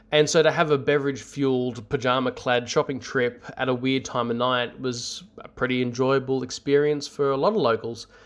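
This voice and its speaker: A man with an Australian accent at medium pitch, fairly quick with hardly any pauses, with fairly even intonation. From Australia, north of Sydney. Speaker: listener sharing paranormal story. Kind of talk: recorded storytelling. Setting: self-recorded audio submission.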